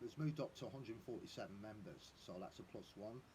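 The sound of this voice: A man speaks with a slightly mellow tone. His pitch varies in an ordinary way.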